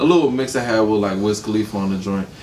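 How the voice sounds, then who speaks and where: Noticeable background noise and audible room echo surround a man with a fairly low pitch and a slight Atlanta accent. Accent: slight Atlanta accent on certain words. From Atlanta, US South. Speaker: rapper. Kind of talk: casual interview.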